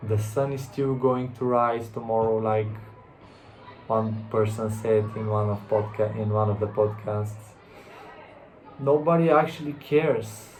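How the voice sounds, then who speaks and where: This man talks at a fairly slow pace, with long, frequent pauses and fairly even intonation at a medium pitch. He has a non-native accent, and the recording carries noticeable background noise and audible room echo. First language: not English. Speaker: self-help vlogger. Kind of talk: motivational monologue. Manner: halting, with repetitions and restarts.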